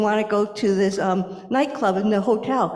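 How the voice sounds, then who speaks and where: With noticeable background noise and audible room echo, a woman of medium pitch speaks at a fairly quick pace. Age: 60s. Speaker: blind presenter at a congregation service. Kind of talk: personal testimony and Q&A.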